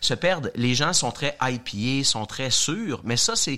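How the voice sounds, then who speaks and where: Speaking fairly slowly, a man uses a fairly high pitch with a bright, sharp tone. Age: 50s. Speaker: beer sommelier. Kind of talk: casual chat.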